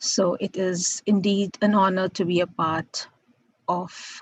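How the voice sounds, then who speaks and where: Her medium-pitched voice is somewhat breathy, with monotone, flat intonation. The woman speaks very slowly. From India. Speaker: professor. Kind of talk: lecture.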